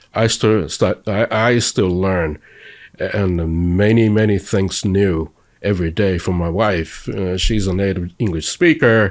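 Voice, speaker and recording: The speaker talks at a fairly slow pace with fairly even intonation, in a Japanese accent. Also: man, fairly low pitch for a man. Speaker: interviewee, convert to Judaism. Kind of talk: interview. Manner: halting.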